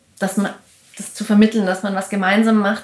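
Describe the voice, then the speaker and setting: Her intonation is monotone and flat. The woman speaks at a medium pitch. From Austria. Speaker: performance and video artist. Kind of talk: interview. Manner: halting, many fillers.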